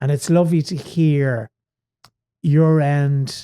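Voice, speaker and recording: An Irish accent in a dark, mellow tone with ordinary pitch variation and a dry, close sound with no echo. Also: man. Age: 60s. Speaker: stage actor. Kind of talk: podcast interview.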